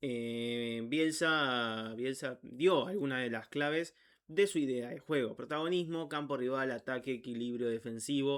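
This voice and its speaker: With a medium pitch, the man's voice shows ordinary pitch variation. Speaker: football YouTuber. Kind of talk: unedited narration of a biography with asides. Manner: slow; halting, stumbles over words.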